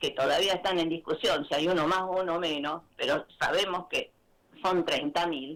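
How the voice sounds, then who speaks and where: The speaker talks at a fairly slow pace. The voice carries a Rioplatense accent. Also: woman. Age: 60s. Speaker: community theatre director and actress. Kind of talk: radio interview. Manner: halting.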